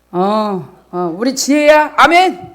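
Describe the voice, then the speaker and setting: A woman speaks in an animated tone. Room echo is audible. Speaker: pastor. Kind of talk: sermon. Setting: church. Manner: fast.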